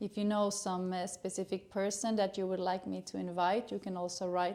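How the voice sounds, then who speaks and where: A woman in a Swedish accent, medium pitch, dark, mellow tone and a moderate pace. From Sweden. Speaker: gynecologist. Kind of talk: educational channel introduction. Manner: hesitant, many filler sounds.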